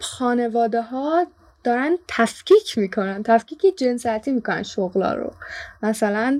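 In a plain, everyday voice, a woman speaks at a fairly high pitch and fairly slow pace with lively intonation. The recording is very clean with a silent background, dry and close with no echo. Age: young, 19. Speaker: student intern. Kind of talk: casual chat.

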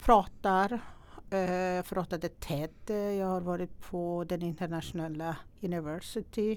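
A speaker with a Persian accent talks at a fairly slow pace, with fairly even intonation. The recording is very clean, with a silent background. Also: woman, medium pitch for a woman. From Iran. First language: Persian (speaking Swedish). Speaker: entrepreneur and investor. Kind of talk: interview. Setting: studio.

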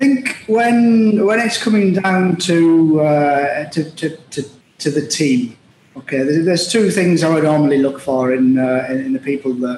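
Through noticeable background noise, a man with a Teesside accent talks at a fairly slow pace, his fairly high voice carrying lively intonation. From northeast England, Middlesbrough. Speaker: logistics executive. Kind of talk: interview. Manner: halting.

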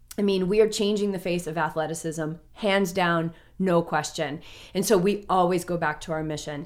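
Speaking at a moderate pace with fairly even intonation, a woman with an unremarkable speaking voice and fairly low pitch is heard in a very clean recording with a silent background. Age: 40s. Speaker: mindfulness coach and triathlete. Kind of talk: casual interview chat. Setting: in person with host.

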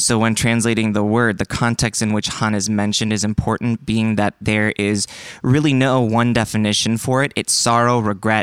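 A man with an American accent speaks at a moderate pace and fairly low pitch, his intonation monotone and flat and his loudness very even. The recording is very clean, with a silent background and a dry, close sound with no echo. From China (Korean family, US-born). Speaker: congregation member sharing story. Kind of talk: testimony.

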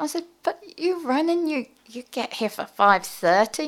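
The speaker is a woman. She has an English accent. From English Midlands, near Birmingham. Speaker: ocean swimmer and underwater photographer. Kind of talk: interview. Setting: studio.

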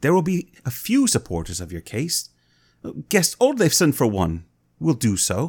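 This man's voice sits fairly high and swings very widely in pitch, with vocal fry. He talks at a fairly slow pace. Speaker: podcast host and college teacher. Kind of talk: casual chat discussing a saga.

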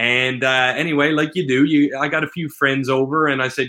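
Here a man talks in a Newfoundland accent. His pitch is fairly high. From central Newfoundland. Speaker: self-published author. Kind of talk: interview.

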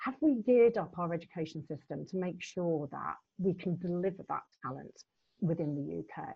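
A woman talks at a fairly slow pace in a somewhat breathy voice, her intonation lively. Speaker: LEP chair. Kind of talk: moderated panel discussion. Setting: video call.

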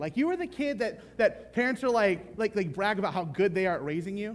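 Loud and animated, a man with a high pitch swings very widely in pitch at a moderate pace. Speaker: pastor. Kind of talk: sermon.

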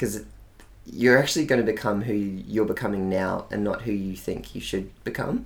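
Fairly even intonation at a moderate pace, in an Australian accent, with audible room echo. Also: man, fairly low pitch for a man. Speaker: digital marketing agency owner. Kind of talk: casual chat. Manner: articulate.

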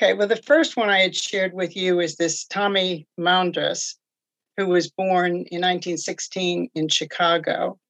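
A woman speaks at a fairly slow pace. Her medium-pitched voice keeps a fairly even intonation. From New York. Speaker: retired nurse and genealogy volunteer. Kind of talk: interview. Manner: hesitant, with fillers.

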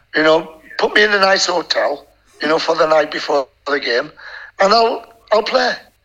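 A man with a northern English accent talks at a moderate pace in a high voice, his intonation lively and his loudness very even. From northern England. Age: 60s. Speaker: former goalkeeper. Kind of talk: casual interview chat. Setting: video call. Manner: rambling, animated.

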